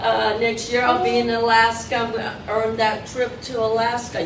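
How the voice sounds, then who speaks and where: At a moderate pace and with hardly any pauses, a woman talks in a fairly high voice amid noticeable background noise and audible room echo. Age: 70s. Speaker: retired teacher turned financial advisor. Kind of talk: workshop presentation.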